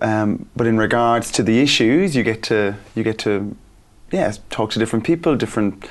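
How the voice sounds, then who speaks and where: A man with an Irish accent, his loudness very even. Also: medium pitch for a man, ordinary pitch variation, moderate pace. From Ireland. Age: 30s. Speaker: school teacher. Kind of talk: interview.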